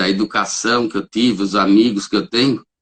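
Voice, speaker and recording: Fairly low male voice, its intonation fairly even. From São Paulo state, Brazil (Caieiras). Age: 60s. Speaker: holistic therapist and reiki practitioner. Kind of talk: interview. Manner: hesitant, with frequent fillers.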